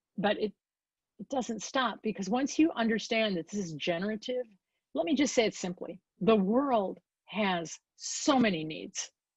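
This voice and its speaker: Animated, somewhat breathy delivery with an American accent and lively intonation, over a quiet background with a dry, close sound and no echo. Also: woman. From Chicago area, US Midwest. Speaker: design and innovation consultant. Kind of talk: guest lecture.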